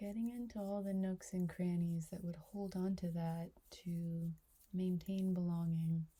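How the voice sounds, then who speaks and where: A soft-spoken woman's fairly low, somewhat breathy voice, dark and mellow in tone, with monotone, flat intonation at a fairly slow pace. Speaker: reiki practitioner and trainer. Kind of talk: reiki ASMR session, personal attention talk to camera.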